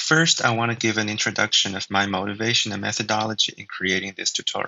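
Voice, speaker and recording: A man speaks with a Chinese accent at a medium pitch. His pace is fairly quick. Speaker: linguist and language tutor. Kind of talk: tutorial. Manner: hesitant, with frequent fillers.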